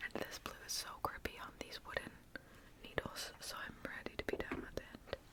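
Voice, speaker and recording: A whisper moves at a moderate pace with noticeable background noise behind it. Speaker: ASMR creator. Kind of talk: whispered ASMR chat. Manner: whispering; casual.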